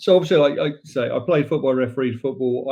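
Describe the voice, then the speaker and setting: In an English accent, a man speaks at medium pitch with ordinary pitch variation. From England, south London (Wimbledon). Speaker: football club president. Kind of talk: podcast interview.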